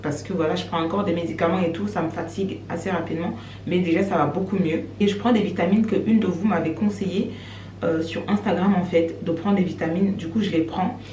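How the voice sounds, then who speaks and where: A woman with a fairly low voice talks at a fairly quick pace with lively intonation. Audible room echo and noticeable background noise surround her. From Cameroon. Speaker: vlogger. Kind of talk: casual vlog talk to camera. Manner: fast.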